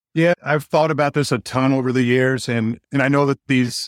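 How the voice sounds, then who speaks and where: A man's medium-pitched voice at a moderate pace, dry and close with no echo, on a very clean recording with a silent background. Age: 50s. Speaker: mortgage tech company executive. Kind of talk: podcast interview. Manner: animated.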